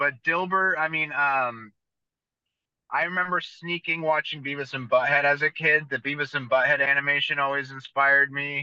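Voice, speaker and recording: The voice has a bright, sharp tone, a moderate pace and fairly even intonation. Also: man, fairly high pitch for a man. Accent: American. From US West Coast, San Jose, California. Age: 30s. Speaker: tattoo artist. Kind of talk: casual chat.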